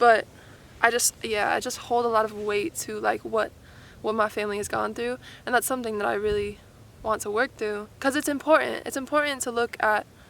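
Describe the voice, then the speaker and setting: Fairly high in pitch, a woman talks in an ordinary speaking voice at a fairly quick pace with ordinary pitch variation. The recording is very clean with a silent background. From Arizona. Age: 20s. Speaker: vlogger. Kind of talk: casual talk to camera.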